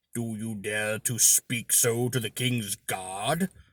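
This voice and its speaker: Using a put-on, growling character voice at medium pitch, a man talks at a fairly slow pace. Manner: menacing, snarling.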